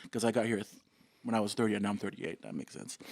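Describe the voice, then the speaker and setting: A man with a Samoan accent. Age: 30s. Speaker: fashion designer. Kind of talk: casual interview chat.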